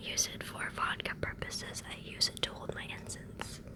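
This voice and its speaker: Noticeable background noise surrounds a whisper that moves at a moderate pace. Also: woman. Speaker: ASMR creator. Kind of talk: ASMR show-and-tell talk to camera. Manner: whispered, soft.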